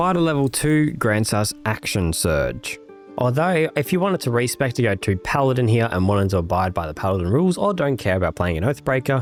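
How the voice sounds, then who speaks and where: A man at a fairly quick pace, with very wide pitch swings, music in the background. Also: medium pitch for a man. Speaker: gaming YouTuber. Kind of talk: game commentary voiceover.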